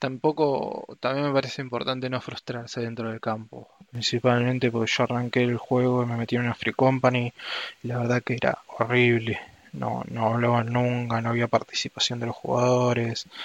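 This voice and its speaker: A man speaks in a Rioplatense accent at medium pitch, his intonation monotone and flat, at a moderate pace. The sound is dry and close with no echo, though noticeable background noise is present. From Argentina. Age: 20s. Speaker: anthropology student. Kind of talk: interview. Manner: halting, with frequent fillers.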